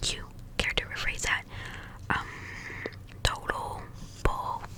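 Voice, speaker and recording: A woman is whispering. Noticeable background noise runs behind her. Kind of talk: audiobook-style reading of a novel. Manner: soft-spoken.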